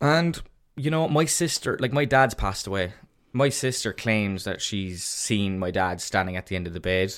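In a very clean recording with a silent background, a man with a slight Cork accent talks in a fairly low pitch with lively intonation. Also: moderate pace. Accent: Irish, mild Cork. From Cork, Ireland. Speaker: podcast co-host. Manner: casual, chatty, swears freely.

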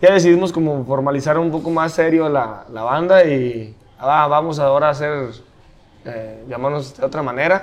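A man at a moderate pace with ordinary pitch variation, with audible room echo. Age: 30s. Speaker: metal band musician. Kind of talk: casual chat. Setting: brewery.

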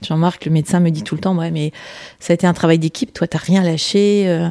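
A woman's fairly low, dark and mellow voice, monotone and flat, at a fairly quick pace. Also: dry, close sound with no echo. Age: 50s. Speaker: accident survivor. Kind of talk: testimony.

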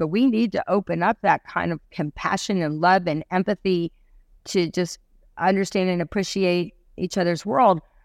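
A woman with a medium-pitched voice and an American accent uses a normal speaking voice at a moderate pace with ordinary pitch variation, recorded dry and close with no echo. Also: very clean recording, silent background. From US South, Asheville, North Carolina. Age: 50s. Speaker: empowerment speaker. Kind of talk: interview.

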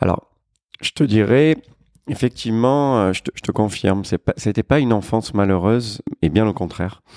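A fairly low-pitched man with a dark, mellow tone speaks at a moderate pace with ordinary pitch variation, in a dry, close sound with no echo on a very clean recording with a silent background. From Marseille, southern France. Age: 40s. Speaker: restaurant entrepreneur. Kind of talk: casual interview.

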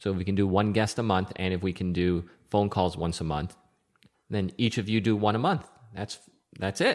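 A man talks in an ordinary speaking voice. He keeps a moderate pace. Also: fairly low pitch for a man, fairly even intonation. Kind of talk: casual chat. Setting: video call.

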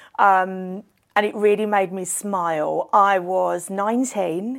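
Her pitch is medium and varies in an ordinary way. The woman's recording is very clean, with a silent background. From London. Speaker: events industry director. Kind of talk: casual interview. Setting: hotel venue. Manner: animated.

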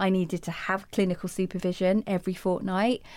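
A woman at medium pitch and moderate pace, with a southern English accent, in a very clean recording with a silent background. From England, Hertfordshire. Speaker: anti-racism educator and life coach. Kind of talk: interview.

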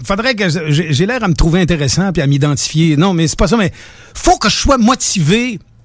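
A man's voice sits high in pitch, and his intonation is lively. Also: moderate pace. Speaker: radio personality and charity founder. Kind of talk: casual chat.

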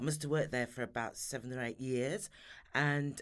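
A woman with a Sheffield accent speaks with ordinary pitch variation. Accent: Yorkshire (Sheffield) English. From Sheffield, Yorkshire, northern England. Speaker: beauty industry consultant and trainer. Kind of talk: interview.

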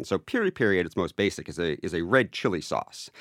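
A man speaks at a moderate pace and a fairly low pitch, with an unremarkable speaking voice. The recording is very clean with a silent background and a dry, close sound with no echo. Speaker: editor. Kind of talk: casual interview. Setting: studio.

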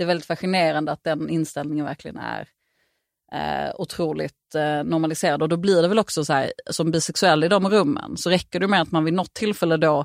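Very fast and fairly low-pitched, a woman's voice carries vocal fry, recorded dry and close with no echo on a very clean recording with a silent background. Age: 30s. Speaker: author. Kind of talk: casual chat.

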